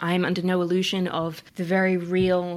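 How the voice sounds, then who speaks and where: Medium pitch and an Australian accent in a woman's voice. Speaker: coach and climate activist. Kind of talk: interview conversation.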